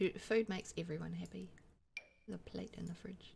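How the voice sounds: A woman speaks at a moderate pace in a fairly low pitch, croaky with vocal fry and a husky, rough edge. Her tone is slightly mellow and her intonation fairly even.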